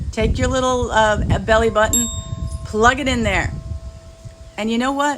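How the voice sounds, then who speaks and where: A woman with a fairly high voice talks at a moderate pace with fairly even intonation and long, frequent pauses. Noticeable background noise and audible room echo surround her. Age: 60s. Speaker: spiritual healer. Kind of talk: spiritual talk.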